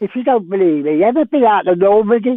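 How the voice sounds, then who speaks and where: With a London accent, a man talks in a high pitch and lively intonation. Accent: southern English, London. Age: 90s. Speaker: war veteran. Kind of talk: interview.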